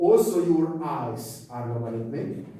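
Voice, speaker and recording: Very slow speech from a man, with audible room echo and noticeable background noise. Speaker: university physics lecturer. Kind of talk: lecture. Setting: lecture hall. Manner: loud; halting.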